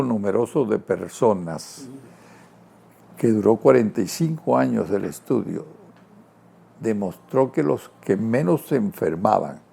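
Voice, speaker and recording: A man speaks at a very slow pace and a fairly low pitch. His tone is dark and mellow, with very wide pitch swings. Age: 80s+. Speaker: TV interview guest. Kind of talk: interview conversation.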